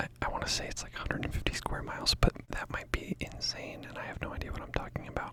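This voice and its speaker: A man whispers in a relaxed tone against noticeable background noise. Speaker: ASMR content creator. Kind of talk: casual talk to camera. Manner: relaxed, rambling, quiet.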